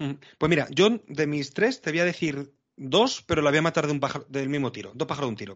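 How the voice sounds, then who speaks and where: A man talks at a fairly quick pace with lively intonation and a fairly high pitch. It is an ordinary speaking voice. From Spain, Madrid. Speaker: NFL podcast host. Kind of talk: casual chat.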